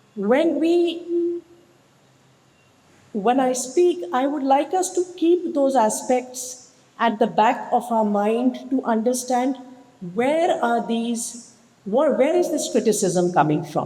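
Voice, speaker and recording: Very slow speech with very wide pitch swings and long, frequent pauses, against noticeable background noise. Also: woman, high pitch for a woman. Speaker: senior lawyer. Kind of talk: public speech at an event.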